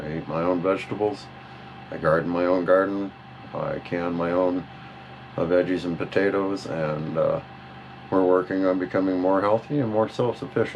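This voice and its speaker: Moderate pace, fairly even intonation and long, frequent pauses over noticeable background noise. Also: man, very deep, low pitch for a man. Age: 50s. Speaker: motorcycle vlogger. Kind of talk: self-introduction interview monologue. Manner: halting, with many fillers.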